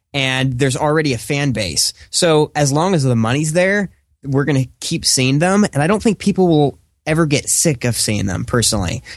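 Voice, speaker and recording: A man with a plain, everyday voice, fairly high in pitch, with lively intonation, a moderate pace and very even loudness, in a dry, close sound with no echo. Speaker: radio producer and movie reviewer. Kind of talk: casual chat. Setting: home mic, remote call.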